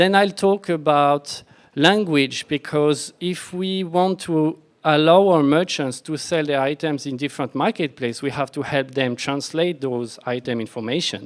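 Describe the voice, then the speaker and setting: A voice with a French accent at a moderate pace with ordinary pitch variation, on a very clean recording with a silent background. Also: man, fairly high pitch for a man. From France. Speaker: software architect, conference speaker. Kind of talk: conference talk.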